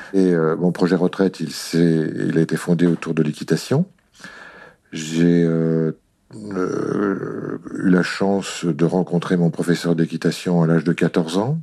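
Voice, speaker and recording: At a very slow pace, a man speaks with a very deep, low pitch, fairly even intonation and very even loudness. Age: 60s. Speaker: retired consultant, riding instructor. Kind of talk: testimony.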